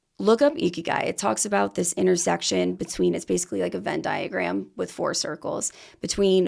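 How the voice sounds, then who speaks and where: A woman talks at a moderate pace in an animated tone. The recording is very clean with a silent background. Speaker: true crime podcaster. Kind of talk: casual interview chat. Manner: loud; talkative, animated.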